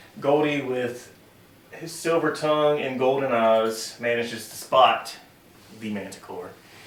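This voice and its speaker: Over noticeable background noise and audible room echo, a man speaks fairly slowly at medium pitch with ordinary pitch variation and big swings in loudness. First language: not English. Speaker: dungeon master. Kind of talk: tabletop game narration.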